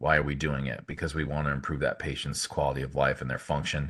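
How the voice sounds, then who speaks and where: A man's very deep, low voice with vocal fry. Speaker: orthopedic hand surgeon. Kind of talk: lecture. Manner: fast; halting, many fillers.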